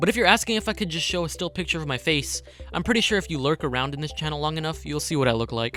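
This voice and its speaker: Over music in the background, a man with an American accent speaks very fast at a fairly high pitch, his intonation lively. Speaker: YouTuber. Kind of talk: Q&A reading comments and answering.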